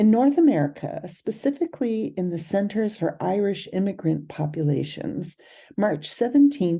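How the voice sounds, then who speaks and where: A woman speaks at a fairly slow pace in a Californian accent, with medium pitch and very wide pitch swings. Her tone is dark and mellow, and somewhat breathy. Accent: California. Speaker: herbal medicine instructor. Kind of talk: educational video talk.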